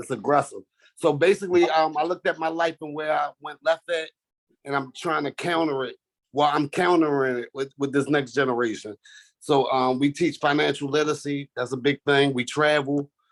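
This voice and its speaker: A man with an American accent, fairly high in pitch, at a fairly quick pace with fairly even intonation and a dry, close sound with no echo. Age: 30s. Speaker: youth mentoring program founder. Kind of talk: self-introduction in online workshop. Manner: halting, filler-heavy.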